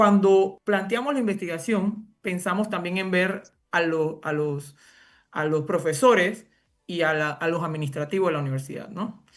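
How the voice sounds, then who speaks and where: With a quiet background behind her, this woman's voice sits fairly low and shifts in pitch in an ordinary way. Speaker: university professor and education researcher. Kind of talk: interview. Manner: fast; halting, many fillers.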